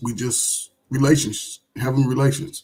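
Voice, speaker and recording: A man's voice is somewhat breathy and fairly high in pitch. Its tone is dark and mellow. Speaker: caller on live stream. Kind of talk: heated debate. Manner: slow.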